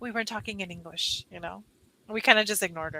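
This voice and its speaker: In a Californian accent, a woman talks in a fairly high voice with a bright, sharp tone. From California, US. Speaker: online English tutor. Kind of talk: casual chat. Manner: animated. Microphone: headphones without microphone, computer mic.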